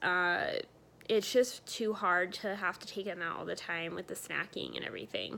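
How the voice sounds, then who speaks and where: Her tone bright and sharp with vocal fry, a woman speaks at a fairly slow pace with fairly even intonation. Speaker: vlogger. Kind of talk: casual vlog update. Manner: many fillers, um and uh.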